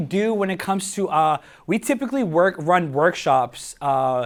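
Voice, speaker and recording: A man with a slight Spanish accent speaks at a moderate pace in a high pitch. His tone is energetic. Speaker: social media marketing speaker. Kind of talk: workshop talk to live audience. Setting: stage with audience at coworking space. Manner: energetic, hesitant with many fillers.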